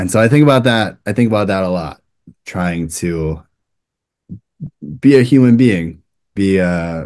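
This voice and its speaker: With an American accent, a man speaks in a very deep, low voice with lively intonation. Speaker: rabbi. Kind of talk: interview. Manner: fast; animated, uses hands a lot.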